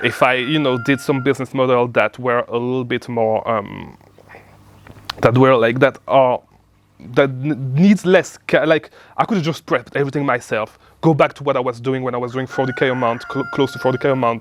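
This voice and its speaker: A man with a non-native accent speaks at a fairly quick pace in a medium pitch, his intonation fairly even. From outside the US. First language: not English. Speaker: online business coach. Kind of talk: casual talk to camera. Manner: halting, many repeats.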